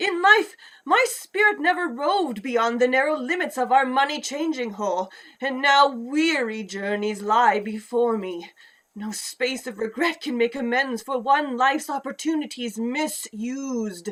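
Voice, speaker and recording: A female-sounding, put-on character voice, high in pitch, at a moderate pace. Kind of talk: radio play performance. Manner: grave, impassioned.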